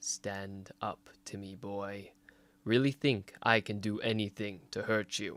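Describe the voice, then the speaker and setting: A man growls loudly in a put-on character voice of fairly low pitch. The recording is very clean, with a silent background. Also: fairly slow pace. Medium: read story. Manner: stern, growling, curt.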